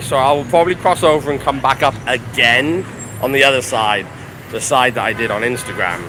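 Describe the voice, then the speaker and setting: A man with very wide pitch swings at a fairly quick pace, over noticeable background noise. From Wales. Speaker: chef and travel vlogger. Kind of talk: live walking tour vlog. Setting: outdoors, street in Chinatown. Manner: casual, chatty.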